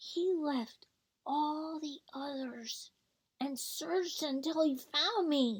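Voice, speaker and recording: Using a put-on character voice, a woman speaks at a high pitch with a gentle tone. Her pace is very slow. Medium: read story. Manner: gentle, reassuring.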